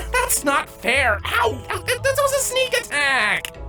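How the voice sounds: A woman puts on a character voice with an extremely high pitch, very wide pitch swings and a bright, sharp tone. She speaks at a slow pace while faint music plays in the background.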